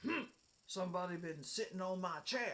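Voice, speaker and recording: The speaker puts on a gruff, raspy character voice at a middle pitch. The pace is moderate. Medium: read story. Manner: slow, grumbling.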